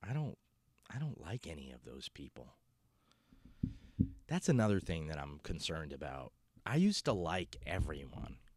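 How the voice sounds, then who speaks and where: With vocal fry and a very deep, low pitch, a man talks at a moderate pace, his loudness swinging widely between long, frequent pauses. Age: 30s. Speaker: comedian. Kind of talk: casual monologue. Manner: halting, many fillers.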